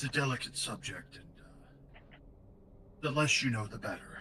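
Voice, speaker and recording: A man puts on a character voice with a fairly high pitch and big swings in loudness. Background noise is clearly audible. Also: moderate pace. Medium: actual play.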